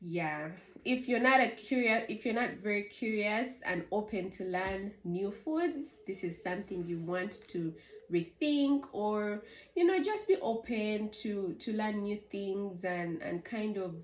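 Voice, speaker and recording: A woman with a Ugandan accent speaks at a fairly slow pace, her medium-pitched voice carrying lively intonation. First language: Luganda. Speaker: vlogger. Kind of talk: casual chat.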